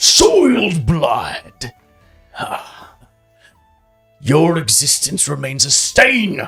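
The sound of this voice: A bellowing put-on character voice at a middle pitch moves very slowly with long, frequent pauses, over faint music in the background.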